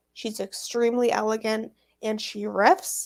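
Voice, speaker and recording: A plain, everyday voice, this woman's is fairly high and fairly even in intonation at a moderate pace, in a very clean recording with a silent background. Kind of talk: casual chat.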